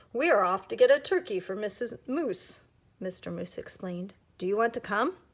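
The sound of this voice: This reading comes in an unforced voice.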